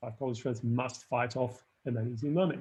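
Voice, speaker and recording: A somewhat breathy man with a non-native accent, at a moderate pace. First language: not English. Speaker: screenwriting lecturer. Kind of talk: live online workshop feedback. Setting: live stream. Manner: halting, many fillers and restarts.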